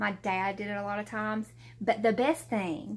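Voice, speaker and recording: A woman with a Southern US accent. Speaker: YouTuber. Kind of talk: casual chat. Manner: hesitant, filler-heavy.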